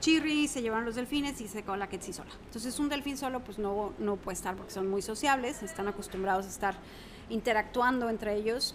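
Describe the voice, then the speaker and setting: A woman with a fairly high pitch speaks at a fairly quick pace, her pitch varying in an ordinary way, amid noticeable background noise. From Mexico City. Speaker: environmental educator and former teacher. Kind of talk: interview, casual chat.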